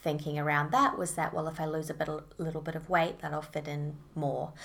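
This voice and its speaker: A woman's very deep, low voice in a flat monotone, with a New Zealand accent and audible room echo. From New Zealand, Auckland. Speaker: eating disorder recovery coach. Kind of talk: interview about lived experience.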